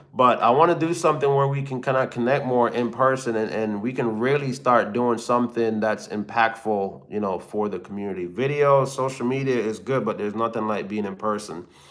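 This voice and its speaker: With a slight Jamaican accent, a man of medium pitch speaks in a relaxed tone at a fairly quick pace with hardly any pauses and ordinary pitch variation. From Jamaica (Kingston). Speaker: hotshot truck driver and YouTuber. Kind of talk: live stream Q&A, reading chat. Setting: live stream. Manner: casual, relaxed.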